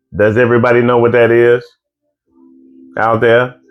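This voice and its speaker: Over music in the background, a man talks in an animated tone at a medium pitch. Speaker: live stream co-host. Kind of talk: casual live stream chat. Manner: loud.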